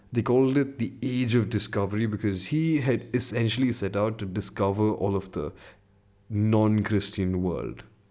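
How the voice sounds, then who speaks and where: A man's fairly low, dark and mellow voice at a moderate pace. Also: ordinary pitch variation. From India. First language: an Indian language. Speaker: podcast host. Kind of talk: solo podcast monologue. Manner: casual, conversational.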